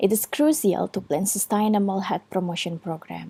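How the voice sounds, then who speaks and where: A woman speaks with an Indonesian accent in a dark, mellow tone. She sounds somewhat breathy and keeps a fairly slow pace. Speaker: student. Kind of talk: recorded presentation. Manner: halting, with frequent fillers.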